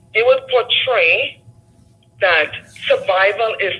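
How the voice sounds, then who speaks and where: The speaker has a non-native accent and moves at a fairly slow pace. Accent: foreign. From a developing country abroad, immigrant. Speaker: caller. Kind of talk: call-in discussion.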